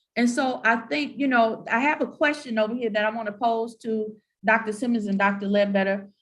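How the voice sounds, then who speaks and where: Somewhat breathy and fairly quick, a woman speaks in a Southern US accent at a fairly high pitch with ordinary pitch variation. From US South. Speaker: moderator of university panel. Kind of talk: panel discussion.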